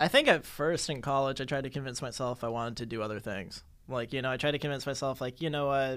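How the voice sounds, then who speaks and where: On a very clean recording with a silent background, a man with an American accent speaks very fast at a medium pitch, his intonation fairly even and hardly any pauses in between. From Massachusetts, Newton. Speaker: TV writer and director. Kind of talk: casual chat.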